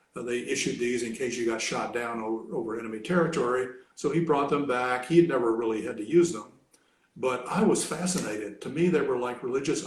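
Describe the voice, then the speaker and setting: A man with an American accent talks at a fairly quick pace in a medium pitch, with ordinary pitch variation. Room echo is audible. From Kentucky, US South. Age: 70s. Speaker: retired academic, language hobbyist. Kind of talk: casual interview. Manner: hesitant, many fillers.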